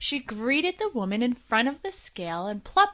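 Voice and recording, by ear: The words are read aloud in a voice that sounds natural.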